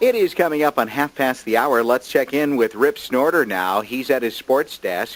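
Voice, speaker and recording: Upbeat in tone, a man with an American accent talks at a moderate pace with very wide pitch swings. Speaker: radio morning show host. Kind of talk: radio show host banter. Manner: upbeat, friendly.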